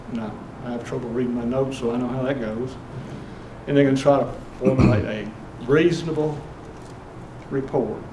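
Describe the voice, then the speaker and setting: A man speaks at a medium pitch, fairly quickly, with fairly even intonation and long, frequent pauses. Noticeable background noise and audible room echo are present. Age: 70s. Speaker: home inspector. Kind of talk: talk at investor club meeting.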